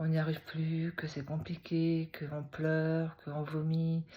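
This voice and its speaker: A woman speaks very slowly in a very deep, low voice. Her tone is dark and mellow, and somewhat breathy. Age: 60s. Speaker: retired teacher. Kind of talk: personal testimony vlog. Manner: hesitant, many fillers.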